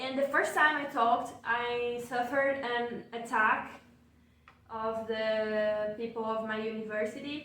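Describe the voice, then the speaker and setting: With music in the background and audible room echo, a woman in a Portuguese accent speaks fairly slowly at a fairly high pitch and fairly even intonation. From Brazil. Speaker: researcher. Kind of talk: casual chat. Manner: halting.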